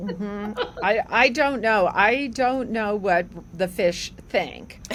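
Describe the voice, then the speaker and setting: A woman with a New Jersey accent speaks at a very slow pace. Her fairly high pitch shows ordinary variation. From New Jersey, near Newark. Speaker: veterinarian at animal health research foundation. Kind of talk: casual podcast interview.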